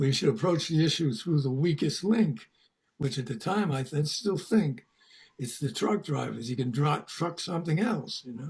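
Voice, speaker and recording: A man with a fairly high, somewhat breathy voice speaks with lively intonation. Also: moderate pace. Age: 80s+. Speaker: founder of a vegan community, longtime activist. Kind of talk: interview.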